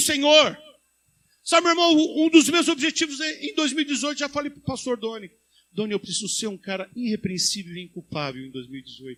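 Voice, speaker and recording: At an extremely high pitch, a man uses a raised, projected voice with a bright, sharp tone, very wide pitch swings and a fairly quick pace. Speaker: pastor. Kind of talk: sermon. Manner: fast.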